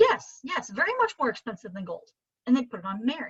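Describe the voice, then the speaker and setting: A somewhat breathy woman's voice. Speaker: art instructor. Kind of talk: live painting class over video call. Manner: chatty, animated.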